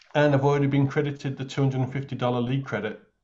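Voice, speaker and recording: The speaker is a man with an English accent and medium pitch. His voice is somewhat breathy, with monotone, flat intonation. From England. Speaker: new insurance agent. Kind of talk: casual chat.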